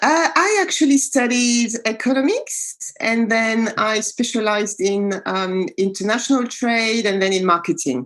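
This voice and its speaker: A woman with a French accent, fairly high-pitched, at a fairly slow pace with very even loudness, hardly any pauses and ordinary pitch variation. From France, Paris. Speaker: executive coach. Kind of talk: interview podcast.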